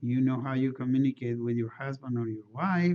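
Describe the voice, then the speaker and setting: A man with a non-native accent at a medium pitch and moderate pace, with noticeable background noise. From outside the United States. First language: not English. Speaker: engineering lecturer. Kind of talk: lecture. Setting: classroom. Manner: halting, with frequent fillers and restarts.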